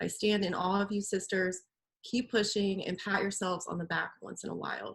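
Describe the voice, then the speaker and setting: A woman talks at a fairly quick pace with vocal fry, a medium pitch and flat, monotone intonation. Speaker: visual artist. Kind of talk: reading aloud; casual chat.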